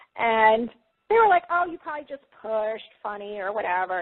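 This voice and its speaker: A woman with a fairly high pitch speaks at a moderate pace in an animated tone with lively intonation. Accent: American. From US Northeast, Long Island, New York. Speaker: psychic healer and spiritual teacher. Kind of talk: interview, personal testimony. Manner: conversational, animated.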